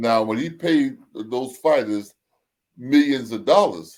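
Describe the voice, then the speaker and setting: A man speaking at a very slow pace. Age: 70s. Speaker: Nation of Islam member and boxing manager. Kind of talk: interview. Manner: halting.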